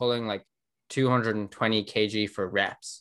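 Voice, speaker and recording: The voice carries an Irish accent. The recording is very clean, with a silent background. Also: man. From Ireland. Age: 20s. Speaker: growth marketer. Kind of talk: casual interview.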